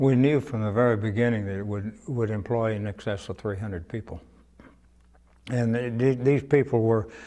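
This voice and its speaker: Speaking in a Texan accent, a man keeps a medium pitch and fairly even intonation. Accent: Texan Southern American. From Cuero, Texas. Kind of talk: oral history interview answer.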